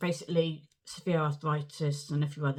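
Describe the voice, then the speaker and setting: A woman's somewhat breathy, very deep voice with a southern English accent, flat monotone delivery, and a moderate pace. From southern England, Portsmouth. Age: 60s. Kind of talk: personal story to camera.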